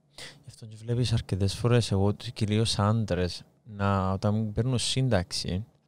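A man with a Cypriot accent speaks at a fairly low pitch with fairly even intonation. The recording is very clean, with a silent background. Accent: Cypriot Greek. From Cyprus. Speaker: podcast host. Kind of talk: interview.

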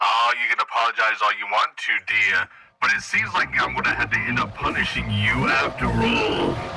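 A man uses a raspy, put-on character voice. He talks at a moderate pace. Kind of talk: ASMR roleplay to listener. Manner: courteous, mock-sweet, menacing.

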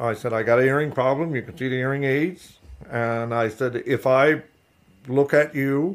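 A man's medium-pitched voice with a Newfoundland accent, moderate pace and fairly even intonation, on a very clean recording against a silent background. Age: 60s. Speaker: fish harvester. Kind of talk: interview. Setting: at home.

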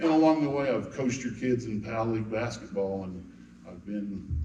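An American-accented man speaks at a moderate pace in a fairly low pitch. There is audible room echo. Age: 60s. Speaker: city council candidate. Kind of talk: campaign speech at candidate forum. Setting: church hall with audience.

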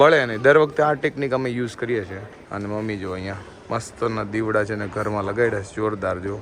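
A man speaks at a fairly low pitch with ordinary pitch variation and big swings in loudness. Noticeable background noise runs underneath. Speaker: vlogger. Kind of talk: casual vlog narration. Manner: animated.

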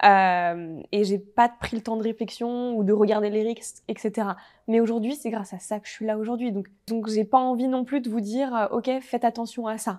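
A woman talks in an ordinary speaking voice at a fairly high pitch, with fairly even intonation. Her pace is moderate and the background quiet. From French Alps (Haute-Savoie); French Alps. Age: 20s. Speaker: entrepreneur; interview guest. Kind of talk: interview. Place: studio. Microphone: lapel.

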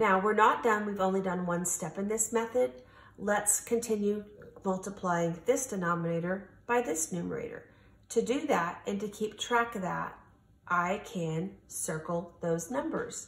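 There is audible room echo as a woman speaks in a somewhat breathy voice at a fairly slow pace, with ordinary pitch variation. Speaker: teacher. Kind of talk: tutorial. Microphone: phone near.

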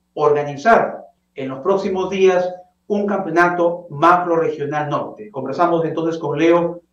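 Speaking at a fairly slow pace with fairly even intonation, a man with a high-pitched voice is heard over audible room echo. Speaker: TV interview host. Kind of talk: presenter introduction. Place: home room. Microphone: webcam.

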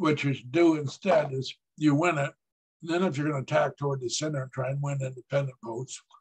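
Against a quiet background, the somewhat breathy voice moves at a moderate pace with fairly even intonation. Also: man. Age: 70s. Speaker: political analyst. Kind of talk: lecture. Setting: stage with audience. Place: home room. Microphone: webcam.

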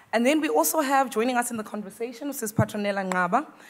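A woman speaks with ordinary pitch variation. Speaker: session moderator. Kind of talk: event introduction of speakers. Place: hall. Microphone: podium.

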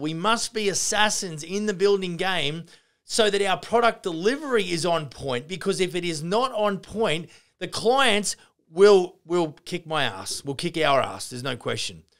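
In an Australian accent, a man with a high pitch talks in an animated tone with lively intonation against a quiet background. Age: 50s. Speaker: construction business owner and podcast host; podcast host. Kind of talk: casual Q&A answering listener questions; podcast conversation. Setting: live Q&A session with an audience, on camera. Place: office. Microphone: studio mic.

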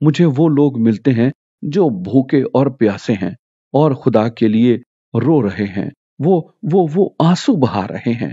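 A man with a plain, everyday voice and lively intonation. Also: medium pitch for a man. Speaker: preacher / sermon speaker. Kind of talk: sermon / Bible teaching talk.

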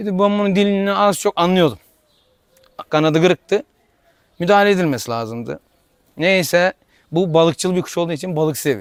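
A man with a high voice for his sex and an Aegean accent, at a fairly quick pace broken by long, frequent pauses, with ordinary pitch variation and a dry, close sound free of echo. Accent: Aegean Turkish dialect. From Tire, İzmir, Aegean Turkey. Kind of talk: interview answer.

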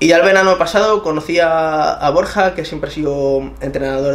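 A man talks with ordinary pitch variation. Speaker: interviewee. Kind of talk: interview answer. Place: home room.

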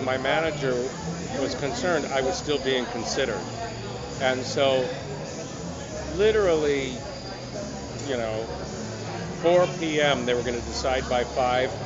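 A man's voice with ordinary pitch variation over loud background noise. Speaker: actor interviewee. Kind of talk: interview answer. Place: hall.

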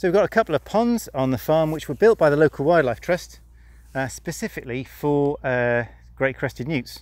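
A man with a fairly high pitch and slightly mellow tone at a moderate pace, with ordinary pitch variation

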